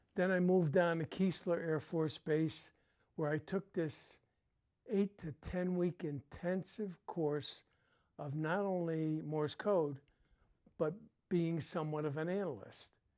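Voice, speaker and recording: Speaking at a fairly slow pace with a New England accent, the voice breaks into long, frequent pauses. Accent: New England American. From Connecticut. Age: 80s+. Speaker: Vietnam-era veteran. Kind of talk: interview, life story. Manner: halting, many fillers.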